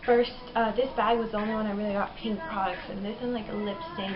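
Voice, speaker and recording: With music in the background and audible room echo, the speech moves at a very fast pace. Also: woman. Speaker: beauty vlogger. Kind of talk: product review. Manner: casual, filler-heavy.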